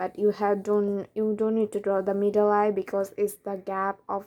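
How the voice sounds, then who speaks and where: A woman's medium-pitched voice has a dark, mellow tone. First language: not English. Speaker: art tutorial creator. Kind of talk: drawing tutorial narration.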